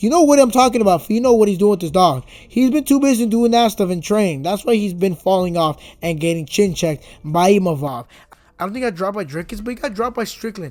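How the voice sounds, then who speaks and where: A man's very fast, animated delivery, high in pitch, with lively intonation. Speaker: MMA commentary youtuber. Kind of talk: casual commentary monologue.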